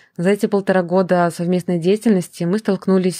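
Her fairly low, dark and mellow voice stays monotone and flat as the woman speaks at a fairly quick pace in a dry, close recording with no echo. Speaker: panel moderator, anarchist activist. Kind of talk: moderated panel discussion, re-voiced.

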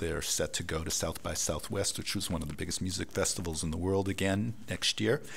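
A man's very deep, low voice with an American accent and ordinary pitch variation. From United States. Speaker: professor. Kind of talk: interview.

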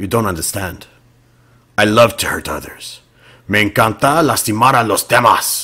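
A raspy, put-on character voice from a man in a Spanish accent, medium in pitch, at a moderate pace with long, frequent pauses and ordinary pitch variation. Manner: distressed, pleading.

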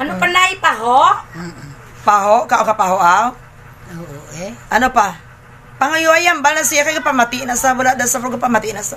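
Light background noise sits under a woman speaking at a fairly quick pace and a high pitch, her loudness swinging widely. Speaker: family vlogger. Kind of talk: casual vlog chat. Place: home room. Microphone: phone near.

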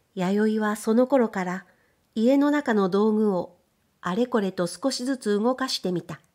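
Speaking at a fairly slow pace, a woman has an ordinary speaking voice pitched fairly high, captured on a very clean recording with a silent background. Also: ordinary pitch variation. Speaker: audiobook reader of period fiction. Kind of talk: literary audiobook reading, scripted narration. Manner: measured, calm narrator pacing; shifts tone to voice the sisters' dialogue, lively or wistful.

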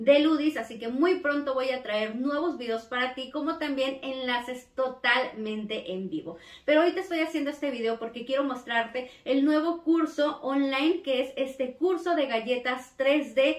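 A high-pitched woman talks at a moderate pace with ordinary pitch variation and hardly any pauses. Audible room echo comes through against a quiet background. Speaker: cookie decorating teacher. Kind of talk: casual vlog chat promoting a course. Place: home room.

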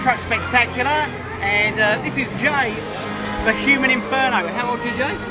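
A man at a moderate pace over loud background music. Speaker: radio presenter. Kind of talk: on-location radio stunt interview. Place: stadium. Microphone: phone near.

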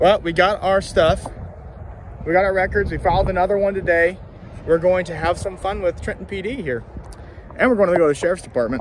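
At a very fast pace, a man speaks with high pitch and ordinary pitch variation, in a dry sound with no echo and light background noise. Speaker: citizen journalist vlogger. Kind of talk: casual vlog commentary. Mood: mocking, critical. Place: street. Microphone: phone near.

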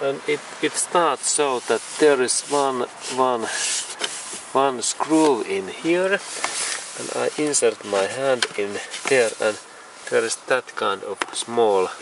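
Very slow speech with long, frequent pauses, in a dry sound with no echo and noticeable background noise. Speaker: car repair tutorial maker. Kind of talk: tutorial. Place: car. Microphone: phone near.

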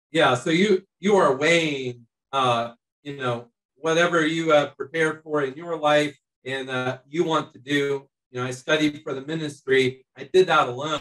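A man speaks in an unremarkable speaking voice, fairly high-pitched and fairly even in intonation, at a moderate pace against a quiet background. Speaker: missionary. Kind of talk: panel discussion. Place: home room. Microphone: video call.

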